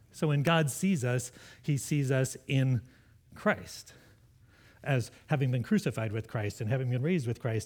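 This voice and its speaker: In a very clean recording with a silent background, a man of medium pitch speaks at a moderate pace with lively intonation. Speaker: pastor. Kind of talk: sermon. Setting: church. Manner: loud.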